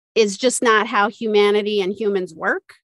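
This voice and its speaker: A woman with a plain, everyday voice speaks at a fairly high pitch, recorded with a dry, close sound and no echo. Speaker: podcast co-host. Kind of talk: casual interview conversation.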